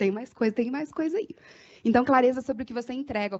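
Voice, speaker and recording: A woman with an animated tone, a high pitch and ordinary pitch variation. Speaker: marketing consultant. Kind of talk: workshop talk. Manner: fast.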